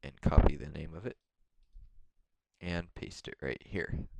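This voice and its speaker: At a fairly slow pace, a man with a very deep, low pitch and vocal fry speaks in a dry, close sound with no echo. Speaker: modding tutorial youtuber. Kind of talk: tutorial. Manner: hesitant, many fillers. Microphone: mic very close to mouth, poor quality.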